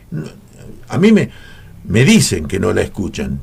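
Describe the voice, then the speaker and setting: A man's fairly slow speech with very wide pitch swings. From Argentina, Coronel Dorrego, Buenos Aires province. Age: 80s+. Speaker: veteran radio announcer and journalist. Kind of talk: radio interview. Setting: radio studio.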